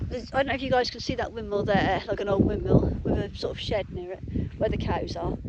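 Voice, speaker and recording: A woman speaks very fast at a medium pitch with a Suffolk accent, against noticeable background noise and audible room echo. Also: ordinary pitch variation. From Suffolk, England. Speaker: vlogger. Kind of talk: casual chat. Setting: outdoors. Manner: hesitant, with many fillers.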